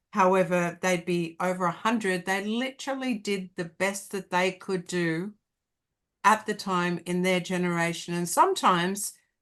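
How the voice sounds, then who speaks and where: A woman with an Australian accent speaks at a moderate pace and medium pitch. Her intonation is fairly even against a quiet background. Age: 60s. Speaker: hypnotherapist and life coach. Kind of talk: casual interview chat.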